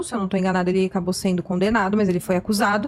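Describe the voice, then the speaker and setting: Very rapid, somewhat breathy female speech. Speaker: YouTuber, commentator on true crime cases. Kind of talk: podcast conversation. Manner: fast.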